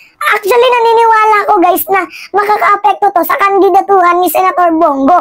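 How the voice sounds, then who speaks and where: Over noticeable background noise, a woman with an extremely high pitch speaks at a moderate pace with ordinary pitch variation. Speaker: political commentary vlogger. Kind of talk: political commentary monologue. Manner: animated.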